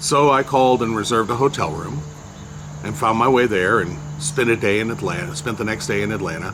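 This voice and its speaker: Over noticeable background noise, the speaker moves at a fairly quick pace with very wide pitch swings. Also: man, medium pitch for a man. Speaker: entertainer and blogger. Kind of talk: personal storytelling monologue. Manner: hesitant, many fillers.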